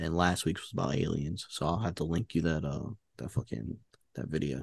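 A man with a New York accent speaks at a moderate pace in a very deep, low voice with ordinary pitch variation against a quiet background. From New York, Queens. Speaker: podcast guest. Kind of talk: casual chat.

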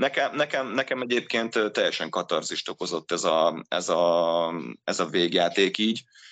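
A man's very deep, low voice, fairly slow, with lively intonation. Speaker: ice hockey player and expert guest. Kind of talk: casual sports discussion. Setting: video call.

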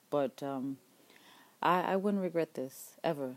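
A woman with a fairly low pitch speaks at a moderate pace, her pitch varying in an ordinary way. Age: 40s. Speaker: wife of an incarcerated man. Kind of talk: personal monologue. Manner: hesitant, many fillers.

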